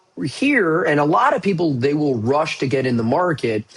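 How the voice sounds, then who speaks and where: This man has a normal speaking voice, pitched fairly high, with lively intonation. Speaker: stock market commentator. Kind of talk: market update video. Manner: casual.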